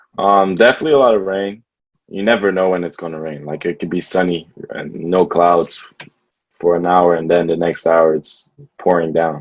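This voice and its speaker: At a moderate pace, a man with a very deep, low pitch and a slight non-native accent speaks with fairly even intonation. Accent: slight foreign. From Belgium. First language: Dutch. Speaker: college basketball player. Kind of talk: casual interview.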